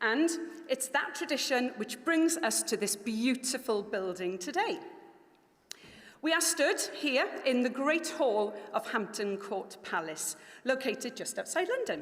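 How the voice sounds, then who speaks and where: Amid noticeable background noise and audible room echo, a woman talks at a fairly slow pace. Her high voice has very wide pitch swings. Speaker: company director presenting at a launch event. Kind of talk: formal event speech. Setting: stage with live audience in a palace hall. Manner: formal.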